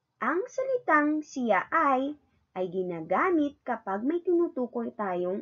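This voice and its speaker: The voice has a bright, sharp tone and very wide pitch swings. It moves at a very slow pace. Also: woman. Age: 20s. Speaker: kindergarten teacher. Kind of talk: lesson for young children.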